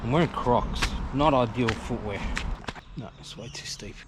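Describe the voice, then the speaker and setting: Background noise is noticeable. A man speaks at a medium pitch. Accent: Australian. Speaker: kayaking vlogger. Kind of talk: outdoor vlog narration. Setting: outdoors by river, then on kayak. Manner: casual, conversational.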